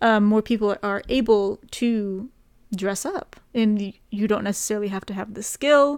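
A woman with an unremarkable speaking voice talks at a fairly slow pace and fairly high pitch with fairly even intonation, in a very clean recording with a silent background. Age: 20s. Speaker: podcast co-host. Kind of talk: casual chat.

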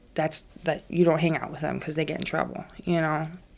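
A woman talks with an American accent. Her voice is fairly low in pitch. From US South, Savannah, Georgia. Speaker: recovering addict sharing her story. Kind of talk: personal testimony interview. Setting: studio with her baby on her lap. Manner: hesitant, many fillers.

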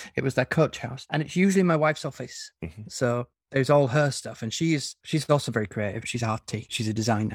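This man has a northern English accent and a medium pitch, and he sounds somewhat breathy. He talks at a fairly quick pace with hardly any pauses, in a very clean recording with a silent background. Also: dry, close sound with no echo. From northern England. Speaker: fantasy author. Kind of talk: casual interview chat.

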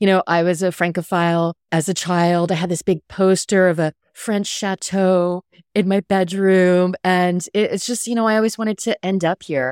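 Recorded very cleanly against a silent background, with a dry, close sound and no echo, a woman in an ordinary speaking voice at medium pitch talks at a moderate pace with fairly even intonation and hardly any pauses. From US, military family (Texas, England, Hawaii, Washington). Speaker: cocktail writer and podcast host. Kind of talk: casual interview chat.

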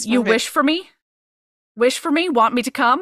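A woman's put-on character voice, high in pitch with ordinary variation, at a moderate pace

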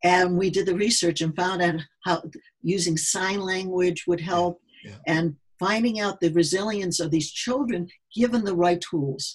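A woman talks at a moderate pace with a fairly low pitch and ordinary pitch variation. Her voice is somewhat breathy. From US Midwest. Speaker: neuropsychologist and sports psychologist. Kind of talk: casual interview. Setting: remote call.

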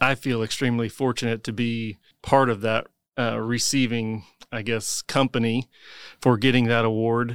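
With a Midwestern American accent, a man talks at a moderate pace at medium pitch in a flat monotone, recorded very cleanly against a silent background with a dry, close sound and no echo. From Emporia, Kansas. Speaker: construction company CEO. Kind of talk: casual interview.

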